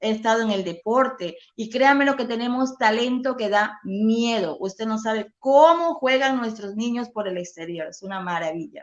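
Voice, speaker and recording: A moderate-paced woman's voice, high in pitch and animated in tone, with lively intonation. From coastal Ecuador (Milagro, Guayas). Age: 50s. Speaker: political candidate. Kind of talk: interview. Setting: live online interview.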